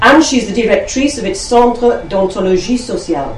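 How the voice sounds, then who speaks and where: A woman talks fairly quickly as noticeable background noise carries on beneath her. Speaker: network convener introducing speakers. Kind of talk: event introduction and chairing.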